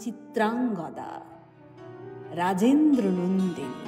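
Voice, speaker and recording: Music can be heard behind a woman as she talks. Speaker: voice actor. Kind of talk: poetry reading. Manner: dramatic, expressive.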